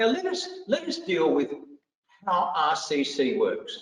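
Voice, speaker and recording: Audible room echo around a voice with an Australian accent. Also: man. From Australia, country Victoria. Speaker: vocational education trainer. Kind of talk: professional development lecture.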